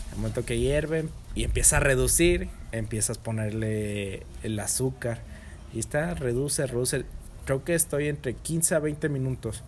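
This is a man speaking with a Mexican accent. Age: 20s. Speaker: chef. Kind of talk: casual chat.

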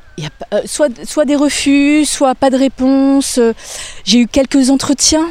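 Over noticeable background noise, a woman talks at a very slow pace and high pitch with fairly even intonation. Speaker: radio presenter. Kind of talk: interview. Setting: outdoors, walking in a park.

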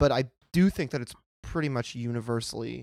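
With an American accent, a man of medium pitch talks at a moderate pace in a dry, close recording with no echo. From US, Pennsylvania (Pittsburgh). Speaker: podcast guest. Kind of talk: casual chat.

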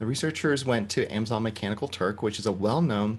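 A man talks at a fairly quick pace in a fairly low pitch. His is an unremarkable speaking voice. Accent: American. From US South. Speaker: podcast host, therapist. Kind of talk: casual chat.

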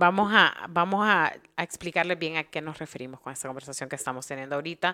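A woman talks at a very fast pace in a bright, sharp tone, with big swings in loudness, on a very clean recording with a silent background. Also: fairly low pitch for a woman, ordinary pitch variation. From Honduras. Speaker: podcast host. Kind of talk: interview.

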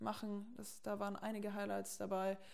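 A woman at a fairly quick pace, with very wide pitch swings and noticeable background noise. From Franconia, Germany (near Erlangen). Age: 20s. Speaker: techno club owner and podcast host. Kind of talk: casual chat. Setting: in her kitchen at home.

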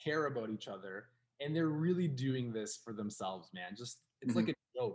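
A man's somewhat breathy, medium-pitched voice, with lively intonation and a fairly quick pace. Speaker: podcast co-host. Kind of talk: casual chat. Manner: animated.

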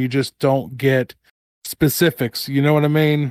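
A man with a normal speaking voice talks fairly high in pitch and at a moderate pace. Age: 30s. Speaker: horror author and podcaster. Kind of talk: casual interview chat.

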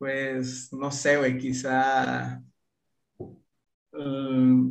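A man with a medium-pitched voice talks amid audible room echo. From Mexico, Chiapas. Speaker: content creator, former footballer. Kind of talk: casual chat.

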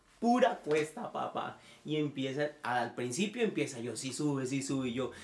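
A man's unremarkable speaking voice, pitched fairly high and moving at a moderate speed. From Nicaragua, moved to Costa Rica at about 12. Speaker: church musician. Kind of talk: casual chat.

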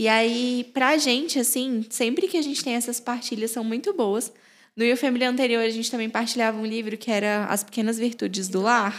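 A woman talks at a fairly quick pace in a plain, everyday voice. Her pitch is fairly high with ordinary variation, on a very clean recording with a silent background. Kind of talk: casual chat.

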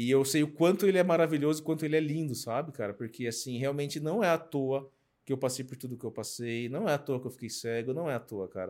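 Very fast pace from a man at fairly high pitch with ordinary pitch variation, on a very clean recording with a silent background. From Brazil, São Paulo state (Sorocaba). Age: 40s. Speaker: motivational speaker and mentor. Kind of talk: interview, personal story.

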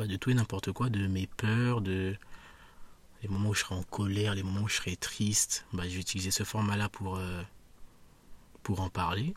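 On a very clean recording with a silent background, a man with a fairly low pitch speaks somewhat breathy at a moderate pace. His intonation is monotone and flat, with long, frequent pauses. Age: 20s. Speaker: podcaster. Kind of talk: solo monologue. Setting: outdoors in a park. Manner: hesitant, many fillers.

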